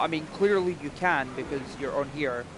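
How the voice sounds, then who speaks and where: With a Scottish accent, a man speaks at a moderate pace in a fairly high voice. Noticeable noise sits in the background. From Scotland, near Paisley. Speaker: gaming live streamer. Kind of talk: casual chat.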